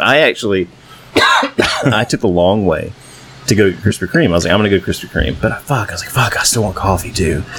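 Noticeable background noise sits behind this recording. A man talks at a very fast pace. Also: fairly low pitch for a man, lively intonation. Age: 30s. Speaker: podcast co-host. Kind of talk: casual chat.

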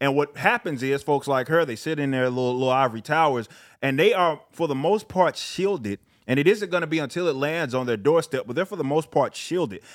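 Over a silent background in a very clean recording, a man uses an ordinary speaking voice, fairly high-pitched, with lively intonation and a fairly quick pace. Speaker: YouTuber and rapper. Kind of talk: casual chat.

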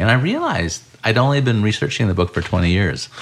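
Over noticeable background noise, a man with an American accent speaks at a moderate pace and a fairly low pitch. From US Midwest (Urbana, Illinois). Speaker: journalist and urban design writer. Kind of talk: interview conversation. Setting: home kitchen.

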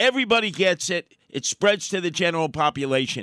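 A raised, projected voice with lively intonation at a fairly quick pace, dry and close with no echo, on a very clean recording with a silent background. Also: man. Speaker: political commentator. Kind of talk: conversational commentary, storytelling.

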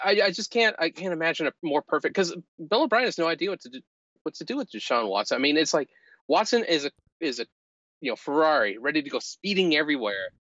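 Marked by vocal fry, the voice moves at a very fast pace with very wide pitch swings and big swings in loudness. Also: man, fairly high pitch for a man. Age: 50s. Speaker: football podcast guest. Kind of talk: casual chat.

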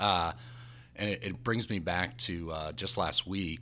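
A man with an American accent and a bright, sharp tone, lively intonation and vocal fry. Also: very clean recording, silent background. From New Jersey. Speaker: company CEO. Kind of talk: casual interview chat.

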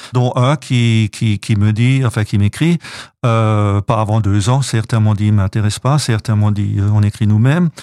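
A man's fairly low, dark and mellow voice at a fairly slow pace, dry and close with no echo. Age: 60s. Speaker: association president and author. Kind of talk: radio interview. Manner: halting, many repetitions and hesitations.

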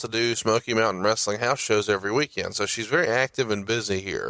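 A man's bright, sharp voice with an American accent, on a very clean recording with a silent background and a dry, close sound with no echo. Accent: Southern drawl, reduced. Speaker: podcast host. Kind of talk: casual chat.

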